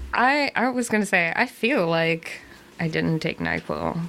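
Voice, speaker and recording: A woman talks at a fairly slow pace while noticeable background noise carries on behind her. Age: 30s. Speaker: podcast co-host. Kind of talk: casual chat.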